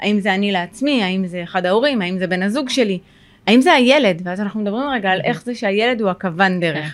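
A woman speaks in a normal speaking voice at a fairly quick pace. Her pitch is medium with ordinary pitch variation. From Israel, Sderot. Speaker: social worker and therapist. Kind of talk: podcast interview.

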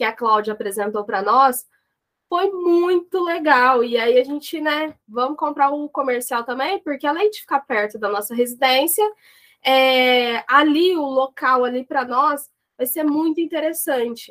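A woman's high voice moves with lively intonation at a fairly slow pace. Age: 20s. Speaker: business owner, lot owner. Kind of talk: interview. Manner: hesitant, many fillers.

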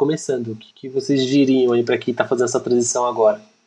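This voice belongs to a man. Its tone is dark and mellow. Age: young. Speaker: lead designer and moderator. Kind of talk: casual chat.

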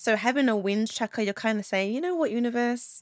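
A woman with a British accent talks at a fairly quick pace, her pitch fairly high and intonation lively. The recording is very clean with a silent background and a dry, close sound with no echo. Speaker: podcast host and business owner. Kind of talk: casual solo talk. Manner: loud; chatty.

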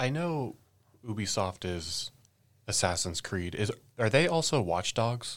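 Fairly slow delivery from a man at medium pitch, with very wide pitch swings and long, frequent pauses. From San Francisco Bay Area. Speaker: guest panelist. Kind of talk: casual chat.

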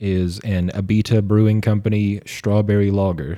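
At a fairly slow pace, this voice carries a dark, mellow tone. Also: man, very clean recording, silent background. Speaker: podcast co-host. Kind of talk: casual chat. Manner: loud.

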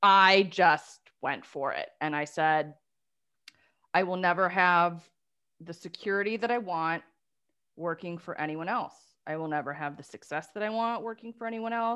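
Against a quiet background, a woman with a Midwestern American accent speaks at a moderate pace in a bright, sharp tone, her fairly low pitch showing ordinary pitch variation. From Detroit area, Michigan. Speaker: life coach for lawyers. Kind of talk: casual interview.

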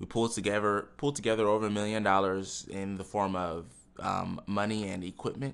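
Music plays in the background as a man talks at a fairly quick pace. His pitch is fairly low and his intonation fairly even. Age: 20s. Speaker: entrepreneur and podcast host. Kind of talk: monologue podcast intro.

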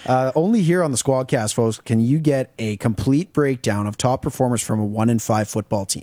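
A man's dark, mellow voice at medium pitch, moving at a fairly quick pace. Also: ordinary pitch variation, hardly any pauses, dry, close sound with no echo, very clean recording, silent background. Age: 20s. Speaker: co-host. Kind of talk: casual sports talk show. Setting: studio.

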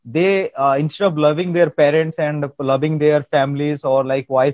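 Speaking with an Indian accent, a man uses a fairly high pitch with ordinary variation at a moderate pace. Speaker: soft skills trainer and podcast host. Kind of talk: interview. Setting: video call. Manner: halting, many filler words.

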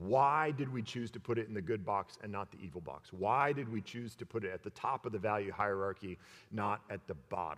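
A man speaks in a plain, everyday voice with a fairly low pitch. His pace is moderate, with ordinary pitch variation. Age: 40s. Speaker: pastor. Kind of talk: sermon.

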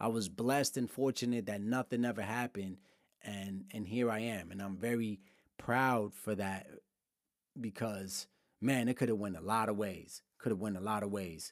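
A man with a New York accent talks at a moderate pace and fairly low pitch, his intonation fairly even, on a very clean recording with a silent background. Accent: New York City. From Brooklyn, New York. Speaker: podcast host on business and technology. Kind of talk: casual solo monologue.

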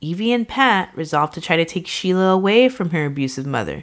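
An ordinary speaking voice from a woman, fairly low in pitch and fairly quick, with lively intonation, in a very clean recording over a silent background. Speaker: podcast host telling the case. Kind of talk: casual true crime storytelling with banter.

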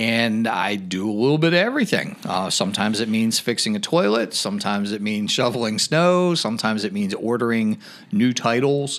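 With an ordinary speaking voice and lively intonation, a man talks at a fairly quick pace with hardly any pauses. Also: medium pitch for a man. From western Pennsylvania, near Pittsburgh. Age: 40s. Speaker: educator and first-time political candidate. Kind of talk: casual interview chat.

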